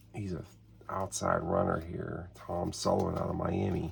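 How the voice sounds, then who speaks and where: Quiet and set against noticeable background noise, a man's very deep, low voice moves at a fairly slow pace with fairly even intonation. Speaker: tabletop sports game hobbyist. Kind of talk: solo tabletop game play commentary. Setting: home, early morning while others sleep. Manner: easy-going.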